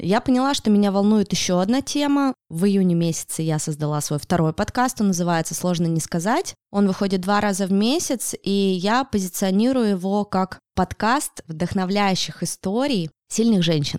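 A woman with an unremarkable speaking voice at medium pitch keeps a moderate pace, very even loudness and hardly any pauses, her sound dry and close with no echo. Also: lively intonation. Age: 30s. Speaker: podcaster. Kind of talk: casual interview. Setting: studio.

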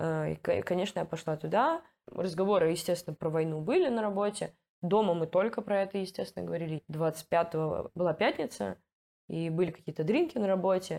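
At a moderate pace, a woman speaks in a dark, mellow tone with a fairly low pitch. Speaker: product manager and volunteer project coordinator. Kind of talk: casual interview.

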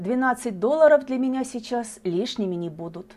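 A woman speaks at a fairly slow pace in a dark, mellow, gentle tone. Her pitch swings very widely. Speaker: podcast host. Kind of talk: literary audiobook reading, poems and short tales read aloud. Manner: measured, expressive, gentle storytelling pace.

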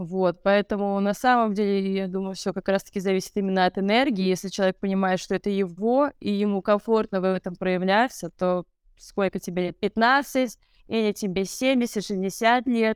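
A normal speaking voice from a woman at medium pitch, fairly even intonation and moderate pace, dry and close with no echo, very clean with a silent background. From North Caucasus, Russia (Vladikavkaz). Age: 30s. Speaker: DJ. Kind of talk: casual interview.

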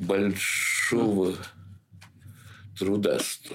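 A man speaks with a fairly low pitch and vocal fry. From St. Petersburg, Russia. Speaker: theatre director. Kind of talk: interview. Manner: halting.

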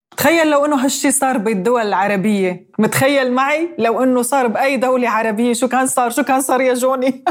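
A woman's high-pitched voice at very even loudness, with hardly any pauses. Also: ordinary pitch variation, moderate pace. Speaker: podcast host. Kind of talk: interview.

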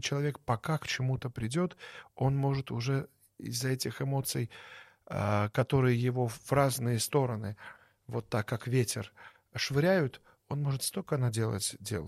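Somewhat breathy, a man of medium pitch talks at a fairly slow pace with ordinary pitch variation. The sound is dry and close with no echo, on a very clean recording with a silent background. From Belarus (born in Baku). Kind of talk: interview.

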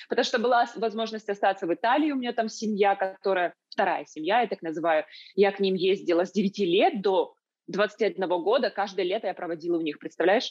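An unremarkable speaking voice at a fairly quick pace, with ordinary pitch variation over a quiet background. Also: woman, medium pitch for a woman. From Ukraine, Kyiv. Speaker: entrepreneur and online school producer. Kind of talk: interview conversation. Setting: video call.

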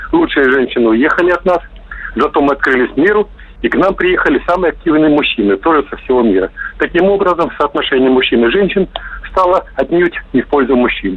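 A high-pitched man at a fairly quick pace, with noticeable background noise. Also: lively intonation. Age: 50s. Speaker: caller. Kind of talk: opinionated phone monologue. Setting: phone call.

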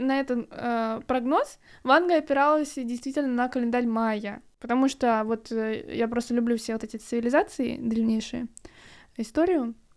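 The recording is very clean, with a silent background. A woman with a high pitch speaks at a moderate pace with ordinary pitch variation. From Russia, Kronstadt (St Petersburg area). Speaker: podcast co-host, student. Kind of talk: casual chat.

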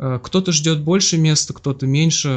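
At a moderate pace, a man uses a normal speaking voice with fairly even intonation. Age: 30s. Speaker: bank department head. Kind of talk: casual interview. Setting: guest's kitchen.

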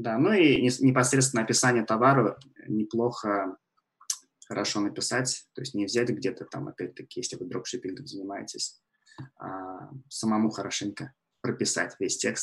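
A medium-pitched, somewhat breathy male voice with ordinary pitch variation, big swings in loudness and long, frequent pauses. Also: moderate pace. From Russia. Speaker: e-commerce platform expert. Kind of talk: casual interview. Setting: remote call from Canada.

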